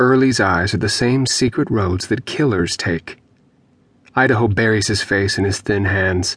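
At a moderate pace and very even loudness, a man talks in a fairly low voice, an unremarkable speaking voice. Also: ordinary pitch variation. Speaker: audiobook narrator. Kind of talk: dramatic audiobook narration of dark, grotesque fiction.

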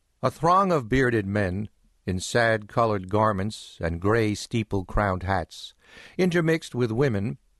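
A man speaks in a normal speaking voice at medium pitch. The background is quiet. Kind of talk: audiobook narration, reading aloud a 19th-century novel. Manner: measured, formal, unhurried literary delivery.

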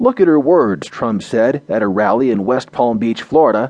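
A man's pitch rises and falls very widely. He keeps a moderate tempo. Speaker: audio news narrator. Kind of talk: formal news reading of front-page articles. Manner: formal, measured, even-paced newsreader delivery; neutral and steady, reads headlines and bylines in crisp, clear tones.

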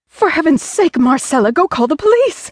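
A female-sounding, put-on character voice that is shrill and extremely high-pitched. Its pitch swings very widely. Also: moderate pace. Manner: screeched.

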